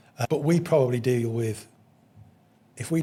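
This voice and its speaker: Somewhat breathy, this man's voice carries ordinary pitch variation. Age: 60s. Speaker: business owner. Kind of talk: casual chat. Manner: halting.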